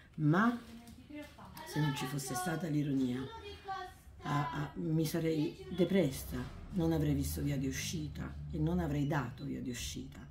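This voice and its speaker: Noticeable background noise runs under a woman speaking fairly slowly. She pauses often and at length. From southern Italy, Naples area. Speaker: book author. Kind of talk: interview. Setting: bookshop event. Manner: halting, with many repetitions. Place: shop. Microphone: phone near.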